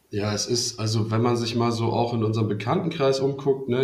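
A man with a medium pitch speaks at a moderate pace. Room echo is audible. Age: 30s. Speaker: student and startup founder. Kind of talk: casual chat. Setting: video call.

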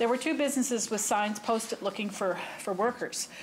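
At a fairly quick pace and with ordinary pitch variation, a woman speaks over noticeable background noise. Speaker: government minister. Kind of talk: formal parliamentary statement. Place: hall. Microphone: podium.

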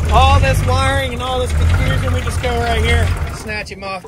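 With an American accent, a man speaks at a moderate pace, his loudness swinging widely over noticeable background noise. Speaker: farmer. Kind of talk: casual show-and-tell. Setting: outdoors.

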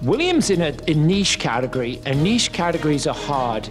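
Over clear background music, a man speaks in a fairly high pitch with lively intonation. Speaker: pitchman and business coach. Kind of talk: coaching commentary to camera. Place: office.

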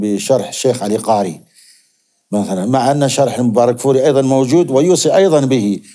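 Against a quiet background, the voice has a dark, mellow tone and ordinary pitch variation. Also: man. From Zarqa, Jordan; Jordan. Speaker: hadith scholar; guest. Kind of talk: interview. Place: studio. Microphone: lapel.

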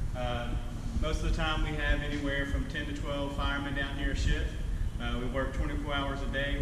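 Loud background noise and audible room echo fill the clip. A man speaks through it at a moderate pace. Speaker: firefighter tour guide. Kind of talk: tour explanation for children. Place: garage.

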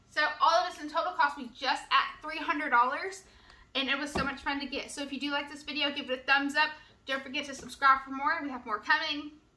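A woman speaks in a raised, projected voice. Her intonation stays fairly even. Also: fairly quick pace. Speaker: family vlogger. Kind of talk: casual vlog chat. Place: kitchen. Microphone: camera far.

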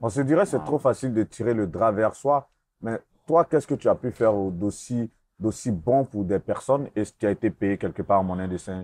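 With lively intonation, a man's speech moves at a moderate pace. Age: 40s. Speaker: interviewer. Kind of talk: interview.

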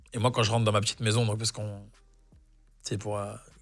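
Over faint music in the background, a man's words come very fast. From southern France, Nîmes; southern France. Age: 30s. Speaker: actor. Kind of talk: casual chat. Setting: studio. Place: studio. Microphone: lapel.

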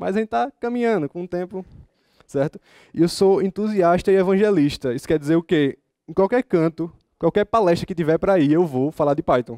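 A man with a high voice and a dark, mellow tone speaks at a fairly quick pace in a strong northeastern Brazilian accent, the sound dry with no echo over a quiet background. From Brazilian Northeast. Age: 20s. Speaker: software developer and student; conference speaker. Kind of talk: conference talk. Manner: casual, informal. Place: hall.

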